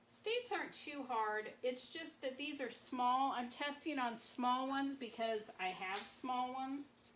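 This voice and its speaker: A loud, high-pitched woman's voice at a fairly slow pace, with hardly any pauses and audible room echo. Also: ordinary pitch variation. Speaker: marbling artist. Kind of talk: live craft demonstration. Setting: livestream at marbling tank.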